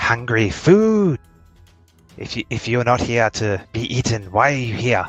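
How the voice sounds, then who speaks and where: Faint music plays behind a man doing a put-on character voice. It's squeaky, medium in pitch and at a moderate pace. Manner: annoyed.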